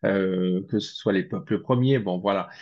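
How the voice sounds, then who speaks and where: Over a quiet background, a man with a fairly low pitch talks at a fairly slow pace with ordinary pitch variation. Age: 60s. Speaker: spiritual researcher. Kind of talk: interview. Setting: video call. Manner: hesitant, many fillers.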